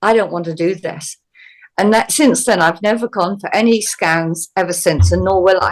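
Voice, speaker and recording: A woman with an unremarkable speaking voice, medium in pitch, at a moderate pace with ordinary pitch variation. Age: 60s. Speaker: healer. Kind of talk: interview.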